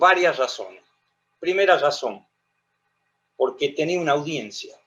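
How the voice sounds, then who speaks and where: This is a man speaking. His pitch is high. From Argentina, La Rioja. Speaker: lawyer and lecturer on history. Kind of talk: lecture.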